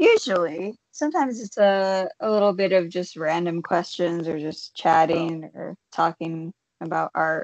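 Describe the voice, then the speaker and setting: A woman with an American accent speaks at a fairly low pitch and moderate pace, with ordinary pitch variation and big swings in loudness. There are hardly any pauses, and the sound is dry with no echo over a quiet background. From Michigan. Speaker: painter; podcast host. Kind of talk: casual chat. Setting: video call. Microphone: video call.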